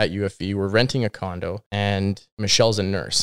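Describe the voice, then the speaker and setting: In a Western Canadian accent, a man speaks at a fairly low pitch, the sound dry and close with no echo, on a very clean recording with a silent background. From British Columbia, Canada. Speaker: real estate agent. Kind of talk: casual chat.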